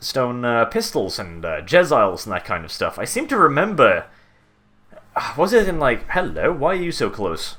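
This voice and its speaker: A man keeps a middling speed while music plays behind him. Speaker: gaming video creator. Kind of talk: gameplay commentary. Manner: casual, hesitant with filler words.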